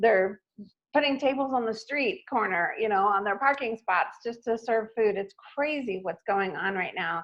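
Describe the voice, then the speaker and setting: Woman with a plain, everyday voice, fairly high pitch and lively intonation at a moderate pace. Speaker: marketing speaker. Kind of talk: presentation. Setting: live stream webinar.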